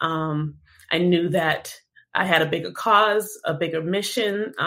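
This woman has a fairly low pitch and an ordinary speaking voice with an American accent. The recording is very clean, with a silent background. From Boston, US Northeast. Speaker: cannabis activist. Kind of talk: interview.

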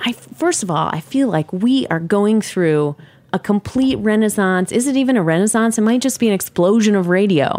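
A woman with a plain, everyday voice speaks at a moderate pace and medium pitch, her intonation lively. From US, New York City. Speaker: cheese industry producer and co-host. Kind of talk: casual interview.

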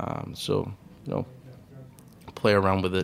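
Here a man speaks with very deep, low pitch. His intonation stays monotone and flat. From Mexico, Puerto Peñasco (Sonora coast). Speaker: chef. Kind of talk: interview. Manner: hesitant, many fillers.

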